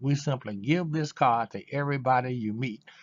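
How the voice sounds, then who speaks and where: A man's medium pitch shifts with ordinary variation as he talks. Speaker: network marketing presenter. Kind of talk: sales pitch. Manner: fast; halting, with fillers.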